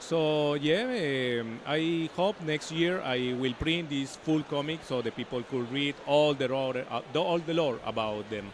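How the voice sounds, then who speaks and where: A man with a Spanish accent and a fairly high pitch, at a fairly slow pace with hardly any pauses. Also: ordinary pitch variation. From Colombia. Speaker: comic artist. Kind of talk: interview. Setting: comics convention. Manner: halting.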